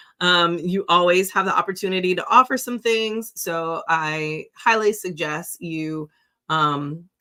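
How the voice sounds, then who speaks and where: Using a bright, sharp tone, a woman speaks at a fairly low pitch with ordinary pitch variation. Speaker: sex business coach. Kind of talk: live-stream Q&A. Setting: live stream. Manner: casual, filler-heavy.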